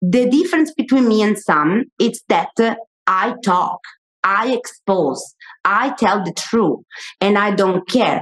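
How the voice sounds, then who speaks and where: A woman's very slow, fairly high-pitched speech with an Italian accent, in a dry, close sound with no echo. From Italy. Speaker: media personality and author. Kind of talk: live panel discussion. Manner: halting.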